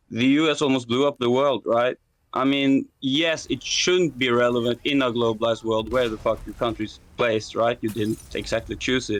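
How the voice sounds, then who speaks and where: A man with a non-native accent, medium pitch, moderate pace and fairly even intonation. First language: not English. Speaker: debate caller. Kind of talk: debate. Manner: halting.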